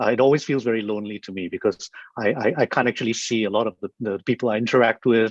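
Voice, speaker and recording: Speaking very fast with fairly even intonation, a man at a medium pitch comes through dry and close with no echo against a quiet background. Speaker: law professor and mediator. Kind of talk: online lecture. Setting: video call. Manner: informal, hesitant with many repetitions.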